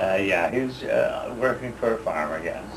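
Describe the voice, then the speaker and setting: A man with a Canadian prairie accent at a very slow pace, with audible room echo and noticeable background noise. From Saskatchewan, Canada. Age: 60s. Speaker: war veteran. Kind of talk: oral history interview. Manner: halting, many fillers.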